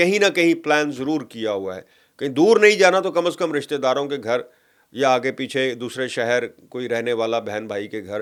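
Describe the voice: A man at a moderate pace with ordinary pitch variation in a very clean recording, silent background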